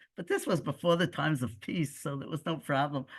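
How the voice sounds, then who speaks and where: The speaker has a Brooklyn accent. The background is quiet. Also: woman. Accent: American (Brooklyn). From US Northeast (Brooklyn, New York). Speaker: expelled settler and community leader. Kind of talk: personal storytelling talk. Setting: video call.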